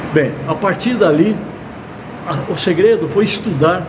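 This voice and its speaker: Over noticeable background noise and audible room echo, a man with a high voice speaks at a fairly slow pace. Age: 70s. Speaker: accounting professor. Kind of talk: online course lecture. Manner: halting.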